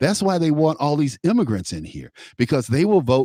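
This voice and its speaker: On a very clean recording with a silent background and a dry, close sound free of echo, a man with an American accent speaks in a fairly high pitch, his tone dark and mellow and his intonation lively. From Chicago, US. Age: 60s. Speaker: radio talk show host. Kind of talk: political talk radio conversation. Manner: halting, many repetitions.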